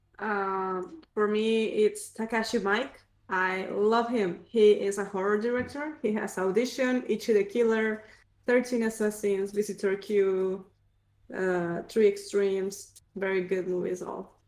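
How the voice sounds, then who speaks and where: Speaking fairly slowly, a woman uses an unremarkable speaking voice. Her medium pitch stays fairly even in intonation. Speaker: podcast co-host. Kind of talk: casual chat.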